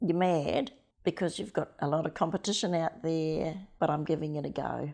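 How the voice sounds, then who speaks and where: Against a quiet background, a woman with a very deep, low pitch talks at a moderate pace. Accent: New Zealand. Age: 70s. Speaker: interviewee sharing life story. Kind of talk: personal testimony.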